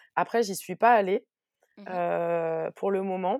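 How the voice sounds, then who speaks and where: In a very clean recording with a silent background, a woman speaks in an ordinary speaking voice. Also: dry, close sound with no echo. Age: 30s. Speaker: press officer and entrepreneur. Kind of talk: casual interview.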